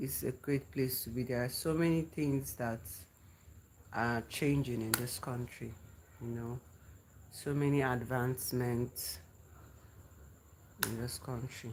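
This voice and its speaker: With a Nigerian accent and a very deep, low pitch, a woman speaks at a fairly slow pace with ordinary pitch variation and long, frequent pauses. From Nigeria, grew up in the north. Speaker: livestreamer. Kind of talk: casual live chat with viewers. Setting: livestream. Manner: repeats phrases, conversational.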